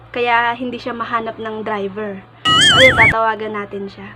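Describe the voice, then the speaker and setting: Over noticeable background noise, a woman with a high pitch speaks with fairly even intonation. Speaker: vlogger. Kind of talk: prank call vlog. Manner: casual, chatty.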